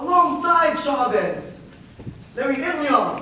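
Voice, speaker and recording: Over noticeable background noise, a man uses a raised, projected voice at an extremely high pitch. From Filipino American. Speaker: spoken word poet. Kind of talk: spoken word poetry performance. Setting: live stage performance.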